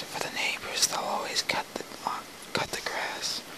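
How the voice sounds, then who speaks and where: A woman whispers over noticeable background noise. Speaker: amateur ASMR whisper reader. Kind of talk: whispered play reading, relaxation. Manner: whispered, soft.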